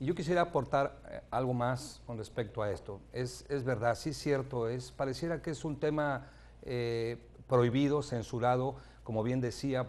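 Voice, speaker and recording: A man speaks at a moderate pace. His pitch is medium, with ordinary variation. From Mexico. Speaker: pastor. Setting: TV studio. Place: studio. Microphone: lapel.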